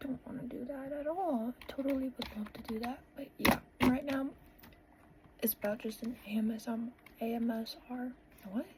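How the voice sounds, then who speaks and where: At a moderate pace, a woman speaks in a high pitch with fairly even intonation and long, frequent pauses. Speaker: vlogger. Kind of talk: casual vlog talk; voice-over narration. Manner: loud.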